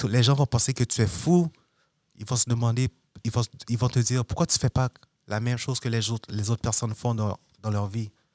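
A man's medium-pitched voice with fairly even intonation, on a very clean recording with a silent background and a dry, close sound with no echo. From Montreal, Quebec. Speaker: music producer. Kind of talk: interview.

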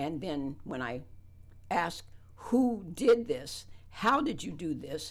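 In a room with audible echo, a woman with an American accent talks very slowly, with long, frequent pauses, very wide pitch swings and big swings in loudness. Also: fairly low pitch for a woman. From West Virginia. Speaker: community center chair. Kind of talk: radio interview. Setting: radio studio.

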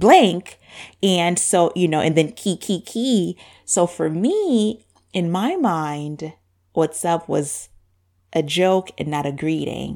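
A woman speaks at a very slow pace with a fairly low pitch, a warm tone and a dark, mellow tone, with ordinary pitch variation. The recording is very clean with a silent background. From Zambia. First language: Bemba. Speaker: podcast host. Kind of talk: casual monologue. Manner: warm, conversational.

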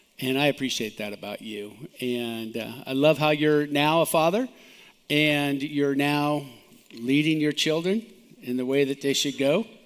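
A man's normal speaking voice, fairly high-pitched for a man, at a fairly slow pace with ordinary pitch variation. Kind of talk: sermon. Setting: church.

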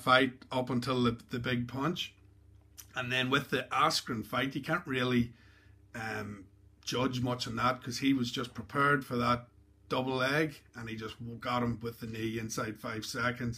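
A man with an Irish accent speaks at a medium pitch. His intonation is fairly even, with long, frequent pauses. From Ireland. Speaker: podcast host. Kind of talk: casual interview chat.

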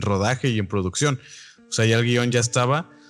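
Against noticeable background noise, a man with a Mexican accent talks at a fairly quick pace. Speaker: film podcast co-host. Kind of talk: casual chat.

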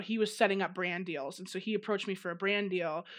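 A woman with an American accent speaks in an ordinary speaking voice at a medium pitch, with ordinary pitch variation, on a very clean recording with a silent background. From US Midwest, Chicago suburbs. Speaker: social media comedian. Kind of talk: casual interview chat.

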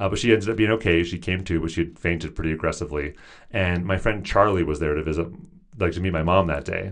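Speaking very fast with an American accent, a man uses a very deep, low pitch and fairly even intonation. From US Pacific Northwest. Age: 30s. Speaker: therapist and author. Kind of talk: interview.

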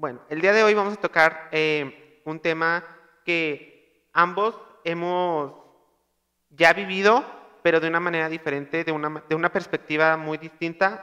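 A loud man's voice at a fairly slow pace, high-pitched, with a bright, sharp tone and a slight Monterrey accent. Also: fairly even intonation. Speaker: podcast host. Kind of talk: casual chat.

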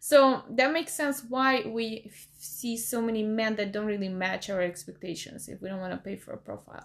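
A woman in a normal speaking voice, fairly high in pitch, at a moderate pace with hardly any pauses and big swings in loudness. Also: lively intonation. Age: 30s. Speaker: podcast guest setting up a dating profile. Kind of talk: casual chat.

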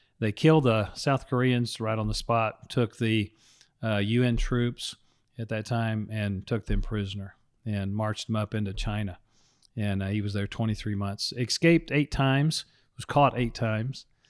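At a moderate pace and with fairly even intonation, a normal speaking voice comes through on a very clean recording with a silent background. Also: man, medium pitch for a man. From Texas. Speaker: pastor. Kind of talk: casual chat.

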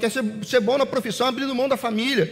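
Very fast pace over noticeable background noise. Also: man. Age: 40s. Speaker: pastor. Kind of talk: sermon.

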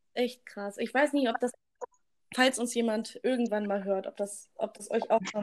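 Moderate pacing and fairly even intonation in a woman's speech. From Germany, rural village. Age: 20s. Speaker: podcast co-host, nursery teacher. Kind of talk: casual chat. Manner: loud.

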